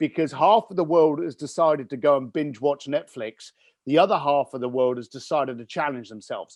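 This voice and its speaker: The background is quiet. A man speaks in a British accent. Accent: British accent, noticeable to listeners. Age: 50s. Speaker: entrepreneur and business coach. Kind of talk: podcast interview. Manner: animated.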